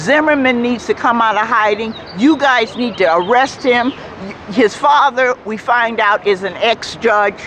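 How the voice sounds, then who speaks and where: Against noticeable background noise, a woman speaks at a fairly slow pace with a fairly high pitch and ordinary pitch variation. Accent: American. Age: 60s. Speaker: protester and civil rights veteran. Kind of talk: street interview.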